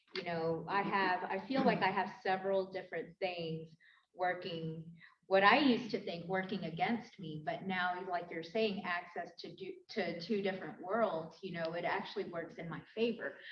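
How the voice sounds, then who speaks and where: A woman's ordinary speaking voice at a medium pitch and moderate pace, with fairly even intonation and big swings in loudness. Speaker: journalist and academic. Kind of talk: panel discussion.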